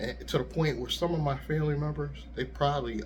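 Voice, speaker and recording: A soft-spoken man talks at a fairly quick pace with audible room echo. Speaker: YouTuber and rideshare driver. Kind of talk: casual vlog monologue. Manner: easygoing.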